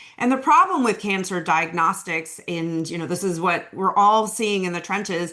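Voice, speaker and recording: A woman speaks at a medium pitch. Noticeable background noise can be heard. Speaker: veterinary oncologist. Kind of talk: webinar lecture. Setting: online webinar. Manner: fast; casual, many fillers.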